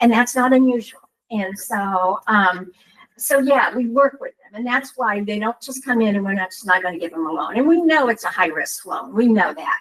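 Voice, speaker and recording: With an ordinary speaking voice at a fairly high pitch, a woman speaks at a moderate pace, with lively intonation and big swings in loudness. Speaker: nonprofit housing program presenter. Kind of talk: public meeting presentation. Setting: township board meeting.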